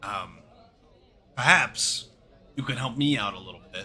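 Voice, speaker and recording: Putting on a raspy character voice, a man of medium pitch talks at a moderate pace with ordinary pitch variation. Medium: actual play.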